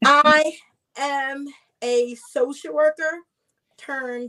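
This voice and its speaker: A woman projects a raised, high voice with a bright, sharp tone. She speaks at a very slow pace with fairly even intonation. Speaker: social worker turned financial coach and author. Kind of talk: panel discussion. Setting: video call from a cruise ship.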